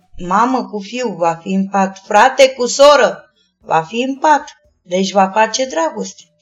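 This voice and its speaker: A woman with an unremarkable speaking voice, fairly high in pitch, lively in intonation, at a fairly slow pace. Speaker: sex worker and activist. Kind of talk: interview.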